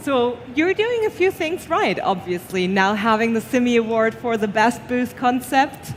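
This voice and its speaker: Lively intonation at a moderate pace with hardly any pauses, over noticeable background noise. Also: woman, high pitch for a woman. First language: not English. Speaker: award show presenter. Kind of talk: live award presentation.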